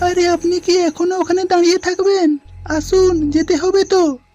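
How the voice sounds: A squeaky, cartoonish character voice at an extremely high pitch talks at a moderate pace over faint background music.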